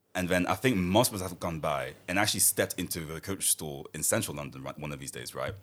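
A man with a very deep, low voice and vocal fry talks at a very fast pace with hardly any pauses. His loudness swings widely while his pitch varies in an ordinary way. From Paris, France, of Congolese (DRC) heritage. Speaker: podcast guest. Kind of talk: casual chat.

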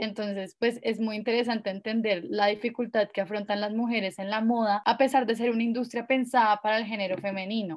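A woman talks at a fairly quick pace. Her voice is fairly high, with fairly even intonation. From Colombia, Villavicencio. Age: 20s. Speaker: lawyer and feminist activist. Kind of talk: casual interview chat. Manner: hesitant, repeats words.

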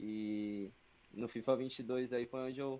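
A man speaks with monotone, flat intonation. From São Paulo, Brazil. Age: 20s. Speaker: esports team manager and player. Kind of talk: casual chat.

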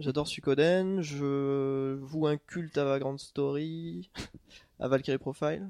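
A man talks in a dark, mellow tone. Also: quiet background. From France, moved around (Corsica, Corrèze, Toulouse). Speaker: author. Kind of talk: casual chat.

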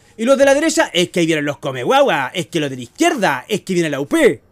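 An animated man's voice in a Chilean accent, with very wide pitch swings. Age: 40s. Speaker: podcast host. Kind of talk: casual chat. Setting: home kitchen.

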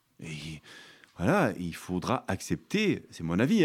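A male speaker captured on a very clean recording, the background silent. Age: 50s. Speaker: vine nurseryman. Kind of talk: interview. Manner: halting.

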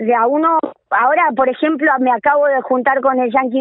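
An Argentine accent marks a woman's high-pitched voice at a moderate pace. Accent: Rioplatense Argentine Spanish. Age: 40s. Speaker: women's rugby coordinator. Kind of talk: interview. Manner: animated.

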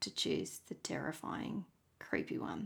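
In a very clean recording with a silent background, a woman speaks in an Australian accent. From Tasmania, Australia. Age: 30s. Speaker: podcast host. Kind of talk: solo monologue.

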